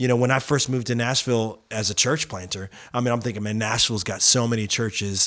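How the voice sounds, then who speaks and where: A man's plain, everyday voice, medium in pitch, at a fairly quick pace. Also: very clean recording, silent background. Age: 40s. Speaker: podcast host. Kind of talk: casual interview. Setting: studio.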